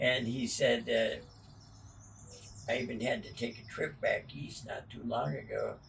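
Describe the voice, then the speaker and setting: Speaking at a fairly slow pace with long, frequent pauses, a man's loudness swings widely amid audible room echo. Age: 90s. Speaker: elderly interviewee. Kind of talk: casual chat.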